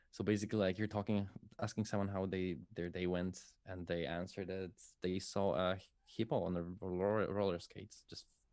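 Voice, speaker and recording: A man with a Polish accent talks at a fairly quick pace in a very deep, low voice, his intonation fairly even. The recording is very clean, with a silent background. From Poland. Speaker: musician and streamer. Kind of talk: casual interview chat. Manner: halting.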